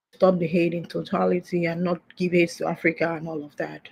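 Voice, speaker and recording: Here is a woman with a dark, mellow tone. Her voice is somewhat breathy. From Nigeria. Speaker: caller. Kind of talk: call-in discussion. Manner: hesitant.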